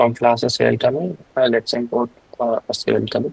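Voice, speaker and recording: A man's voice comes across dry and close, with no echo. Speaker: programming instructor. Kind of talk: live coding tutorial. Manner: halting, many fillers; fast.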